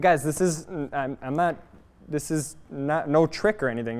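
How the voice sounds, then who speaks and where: A man speaks loudly with an animated tone. His pitch is fairly high. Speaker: automotive technical trainer. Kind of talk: live training class. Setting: garage workshop.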